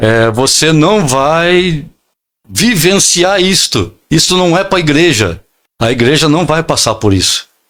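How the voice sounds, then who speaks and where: Speaking at a very slow pace, a man with a fairly high pitch and lively intonation keeps his loudness very even on a very clean recording with a silent background. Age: 60s. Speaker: pastor. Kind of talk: interview, preaching style. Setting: podcast studio. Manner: halting, many fillers.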